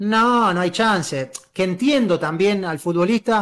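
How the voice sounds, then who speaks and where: Pitch moves in an ordinary way as a man talks. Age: 30s. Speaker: football journalist and streamer; football journalist, streamer. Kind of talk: casual interview.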